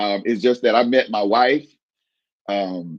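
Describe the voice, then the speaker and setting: A man at a fairly slow pace, dry and close with no echo. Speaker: radio DJ; comedian.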